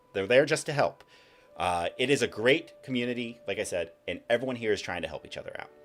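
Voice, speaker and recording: With music in the background, a man speaks at a very fast pace. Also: big swings in loudness. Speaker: streamer and lore narrator. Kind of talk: casual live stream chat. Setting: live stream.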